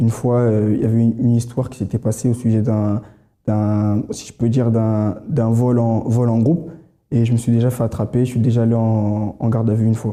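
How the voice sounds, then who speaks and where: Fairly quick speech from a man with a medium pitch and a dark, mellow tone, monotone and flat in intonation, with very even loudness. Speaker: church member giving testimony. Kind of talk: testimony. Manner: fast; halting.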